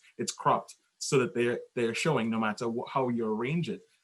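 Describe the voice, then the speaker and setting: The pace here is moderate. A man speaks, his pitch moving in an ordinary way. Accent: Caribbean. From Trinidad. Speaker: podcast guest. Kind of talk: casual chat.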